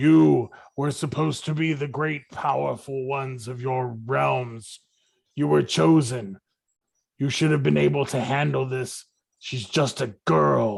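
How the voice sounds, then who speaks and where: Putting on a booming character voice, a man speaks fairly slowly at medium pitch with lively intonation. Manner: commanding, scolding.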